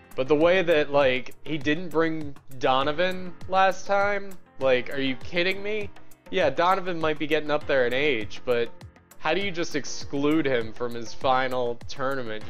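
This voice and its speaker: Faint music sits in the background as a man speaks at a fairly slow pace. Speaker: game streamer. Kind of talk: casual stream chat. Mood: relaxed, chatty. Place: home room. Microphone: headset.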